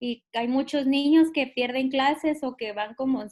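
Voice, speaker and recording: Moderate pace and fairly even intonation in a dry, close sound with no echo. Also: woman. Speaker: student. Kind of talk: class discussion.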